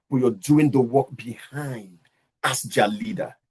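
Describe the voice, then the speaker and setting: A somewhat breathy male voice at a fairly slow pace. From Nigeria. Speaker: leadership coach. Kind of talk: lecture.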